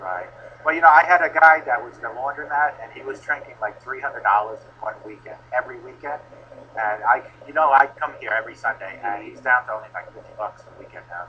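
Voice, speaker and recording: With an American accent, a man talks with lively intonation and big swings in loudness. Noticeable background noise is present. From Long Island, New York. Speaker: addiction recovery coach. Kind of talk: street outreach conversation. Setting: outdoors on the street. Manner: casual, conversational.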